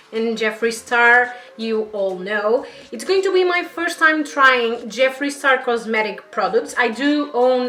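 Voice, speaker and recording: Through noticeable background noise, a woman with a Portuguese accent and a high pitch speaks at a fairly slow pace. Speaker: beauty YouTuber. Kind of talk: makeup review vlog. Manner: halting.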